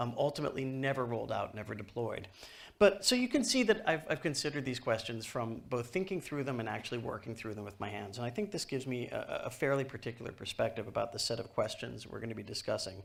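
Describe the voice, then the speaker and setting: A very fast delivery in a New York accent with hardly any pauses, on a very clean recording with a silent background. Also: man. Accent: New York American. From US, New York. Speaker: author and technology speaker. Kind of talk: conference keynote. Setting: stage with audience.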